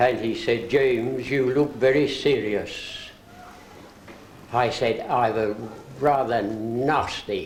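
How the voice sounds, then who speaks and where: Over noticeable background noise and audible room echo, a man at a medium pitch speaks at a very slow pace with fairly even intonation. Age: 80s+. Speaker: retired orchestral percussionist. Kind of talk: birthday party speech. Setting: birthday gathering. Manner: formal.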